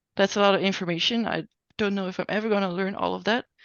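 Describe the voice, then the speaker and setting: Her pace is very fast and her pitch is medium. This woman's intonation stays monotone and flat. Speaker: software instructor. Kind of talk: online class tutorial. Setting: video call.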